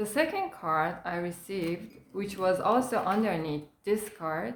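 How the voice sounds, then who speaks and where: A woman talks at a fairly slow pace with lively intonation. Her pitch sits in the medium range. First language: not English. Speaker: tarot card reader. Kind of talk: tarot reading.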